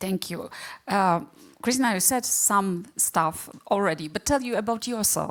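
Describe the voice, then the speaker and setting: Speaking with a Polish accent, a woman keeps a fairly slow pace at medium pitch with ordinary pitch variation. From Poland. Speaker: panel moderator. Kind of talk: panel discussion.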